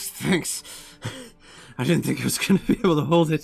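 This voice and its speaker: A put-on character voice at a middle pitch sounds strained and raspy, going at a fairly quick pace. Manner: strained, through gritted teeth.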